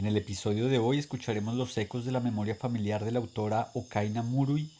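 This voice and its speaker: A man's ordinary speaking voice at a medium pitch, with ordinary pitch variation and a fairly quick pace. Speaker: reader. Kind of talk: literary reading aloud.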